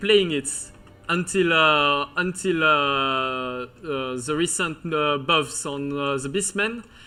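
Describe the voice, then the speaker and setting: Speaking very slowly with a strong Breton accent, a man uses a fairly high pitch, ordinary pitch variation and a bright, sharp tone. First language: French. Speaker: video game commentator. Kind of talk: live commentary. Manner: halting, many fillers.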